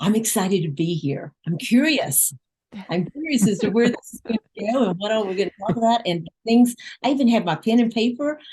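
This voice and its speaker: A woman's somewhat breathy, dark, mellow voice, fairly high in pitch, with lively intonation at a fairly quick pace, in a dry, close sound with no echo. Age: 60s. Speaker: life coach. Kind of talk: casual chat.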